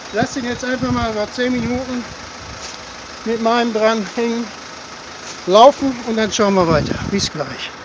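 Noticeable background noise accompanies a man with an extremely high pitch. He talks at a fairly slow pace with ordinary pitch variation and long, frequent pauses. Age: 60s. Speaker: hobby car mechanic and video creator; hobby mechanic vlogger. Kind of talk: casual vlog narration. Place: open country. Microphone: camera far.

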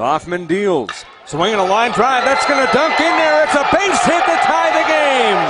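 The speech unfolds at a fairly slow pace against noticeable background noise. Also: man. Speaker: baseball radio announcer. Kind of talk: live play-by-play sports commentary, baseball highlights. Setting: radio broadcast clips of a game. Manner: excitable, rising to a shout on home runs and walk-off win.

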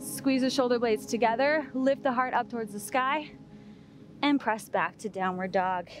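With clear music in the background, a woman speaks in a high pitch at a fairly slow pace, the sound dry with no echo. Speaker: yoga instructor. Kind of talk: tutorial. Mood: calm, encouraging. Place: beach. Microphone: headset.

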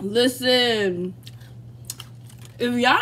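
Light background noise accompanies a woman's voice. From Baltimore, Maryland. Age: 20s. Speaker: nursing student. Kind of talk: casual mukbang talk to camera. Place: kitchen. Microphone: phone near.

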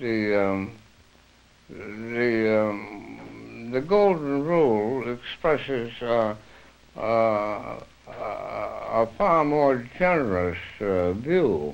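At a very slow pace, a man speaks with lively intonation and very even loudness. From United States. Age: 80s+. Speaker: author and interpretation theorist. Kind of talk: interview answer. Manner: hesitant, reflective. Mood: thoughtful, reflective. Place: home room. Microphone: old recording.

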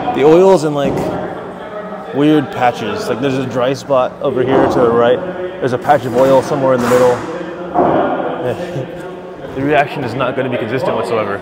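Loud background noise runs under a man's voice. He talks at a fairly quick pace with ordinary pitch variation. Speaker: bowler vlogger. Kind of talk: casual vlog chat. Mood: frustrated, exclaiming. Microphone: lapel.

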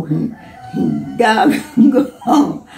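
A woman talks in a Jamaican accent. Light background noise sits behind her. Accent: Jamaican Patois. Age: 80s+. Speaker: former sugar cane worker. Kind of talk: interview answer. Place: home room. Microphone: phone near.

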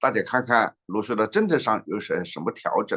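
A man's bright, sharp voice with very wide pitch swings, moderate pace, and a quiet background. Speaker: political news show host. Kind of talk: political talk show. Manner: chatty, animated. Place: home room. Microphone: webcam.

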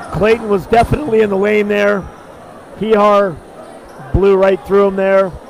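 The speech moves at a moderate pace with fairly even intonation and long, frequent pauses. Noticeable background noise is present. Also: man, high pitch for a man. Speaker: basketball play-by-play commentator. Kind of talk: live sports commentary. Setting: gym broadcast of a school game.

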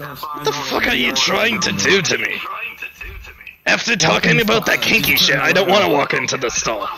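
A man puts on a high-pitched character voice. Clear background noise runs throughout. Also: moderate pace. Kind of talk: comic improv impression. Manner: mocking, wisecracking, theatrical.

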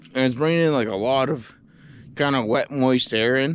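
A man speaks with ordinary pitch variation over light background noise. The sound is dry, with no echo. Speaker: outdoor vlogger. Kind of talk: casual vlog chat. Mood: relaxed, cheerful. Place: garden. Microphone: phone near.

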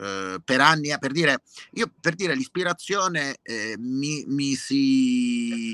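Bright and sharp in tone, a man with a fairly high pitch and lively intonation speaks at a very slow pace in a dry, close sound with no echo. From Lecce, southern Italy. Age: 50s. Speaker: singer-songwriter. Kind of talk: interview conversation.

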